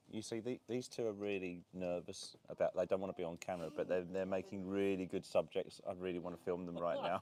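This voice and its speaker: A man with an Essex accent and a very deep, low pitch, a dark, mellow tone, a fairly quick pace and hardly any pauses. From southern England, Essex. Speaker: vlogger. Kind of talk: live stream casual chat. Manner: animated.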